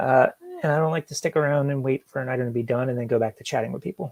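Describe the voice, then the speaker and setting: Somewhat breathy and in a calm, relaxed tone, a man speaks in a dry, close sound with no echo. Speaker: YouTuber live-streaming while working. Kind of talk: casual live-stream chat reading viewer comments.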